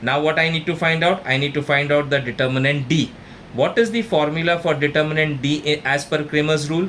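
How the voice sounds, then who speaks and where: A man with an Indian accent speaks fairly quickly at a fairly high pitch, with ordinary pitch variation. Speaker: maths tutor. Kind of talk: tutorial.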